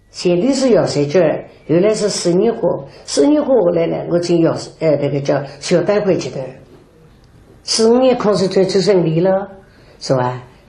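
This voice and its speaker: A woman's fairly low voice with very wide pitch swings, at a fairly slow pace, amid noticeable background noise. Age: 80s. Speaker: Yue opera performer. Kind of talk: documentary interview answer. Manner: slow, reminiscing.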